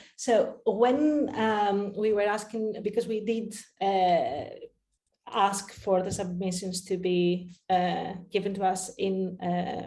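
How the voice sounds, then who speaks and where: There is audible room echo around a woman's dark, mellow tone. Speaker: researcher presenting a project. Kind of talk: conference Q&A. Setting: online conference. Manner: halting, many fillers.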